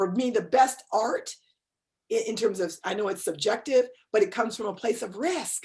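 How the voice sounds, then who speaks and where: A woman with an American accent speaks at a moderate pace in a fairly high pitch. Her tone is animated and somewhat breathy, with lively intonation. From New York, Westchester County. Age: 60s. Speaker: author and cultural geographer. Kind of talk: interview conversation. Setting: video call.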